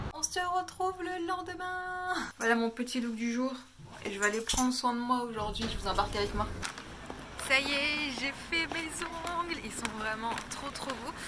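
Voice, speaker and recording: Projecting a raised voice at a high pitch, a woman speaks fairly slowly with lively intonation over noticeable background noise and audible room echo. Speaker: lifestyle vlogger. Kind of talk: vlog. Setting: outdoors.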